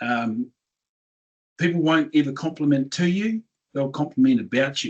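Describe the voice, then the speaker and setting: In a New Zealand accent, a man with fairly high pitch speaks at a moderate pace, his pitch swinging very widely. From New Zealand (regional town). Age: 60s. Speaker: business owner, tech company founder. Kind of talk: interview. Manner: animated.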